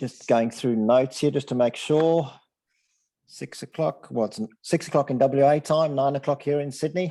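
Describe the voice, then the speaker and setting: An Australian-accented man speaks at a moderate pace with a dark, mellow tone, medium pitch and ordinary pitch variation. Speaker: sports nutrition presenter. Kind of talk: online presentation. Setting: video call.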